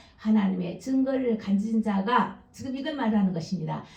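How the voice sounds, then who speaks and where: A woman's fairly high voice with lively intonation and audible room echo. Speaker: pastor. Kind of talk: sermon.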